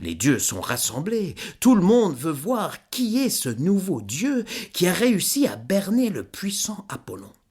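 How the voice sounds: Lively intonation marks this delivery. It is a natural reading voice.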